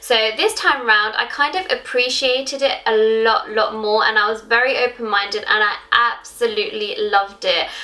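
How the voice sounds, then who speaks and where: With a London accent, a woman speaks at a high pitch, ordinary pitch variation and very even loudness, at a moderate pace. She leaves hardly any pauses, and noticeable background noise runs underneath. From London, England. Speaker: YouTuber. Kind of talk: casual vlog talk to camera. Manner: animated.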